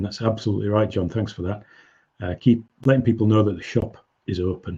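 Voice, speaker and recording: A man speaks against a quiet background in a fairly low, somewhat breathy voice with a dark, mellow tone and fairly even intonation. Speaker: business coach. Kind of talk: webinar presentation. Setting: online webinar.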